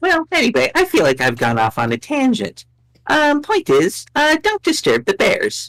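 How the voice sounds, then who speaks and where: Putting on a character voice, a man speaks in an extremely high pitch with a smug tone at a moderate pace. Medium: actual play. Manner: smug, teasing.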